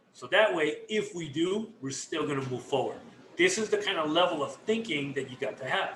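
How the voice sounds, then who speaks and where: Over noticeable background noise, a man projects his raised voice at a moderate pace. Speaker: network marketing team leader. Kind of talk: motivational talk. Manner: loud; animated.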